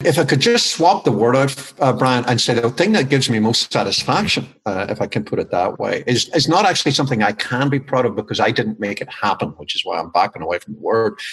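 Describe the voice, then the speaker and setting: A man's very fast, nearly pause-free speech in a strong Irish accent, medium in pitch with very wide swings, over noticeable background noise. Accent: Irish, still strong after twenty years in US. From Ireland. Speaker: business consultant and author. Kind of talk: interview.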